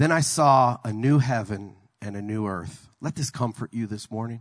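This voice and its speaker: Against a quiet background, a man with a normal speaking voice talks at a moderate pace with ordinary pitch variation. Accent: American. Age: 50s. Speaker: pastor. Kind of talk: sermon.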